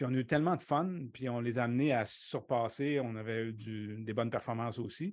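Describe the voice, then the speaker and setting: A man with a plain, everyday voice speaks at a fairly quick pace with hardly any pauses, in a medium pitch with ordinary pitch variation. The background is quiet. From Quebec City, Limoilou. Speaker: baseball coach and professor. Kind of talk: casual interview.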